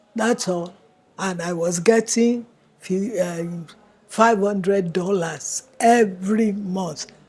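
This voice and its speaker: A woman's medium-pitched voice, with ordinary pitch variation, comes through over noticeable background noise. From Nigeria, Calabar. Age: 80s+. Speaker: elder interviewee. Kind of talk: interview.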